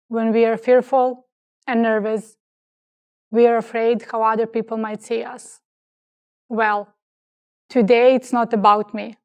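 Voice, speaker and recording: In a very clean recording with a silent background, a woman speaks at a fairly slow pace with a fairly high pitch, monotone, flat intonation, and long, frequent pauses. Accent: non-native. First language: not English. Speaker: graduate student speaker. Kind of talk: commencement speech.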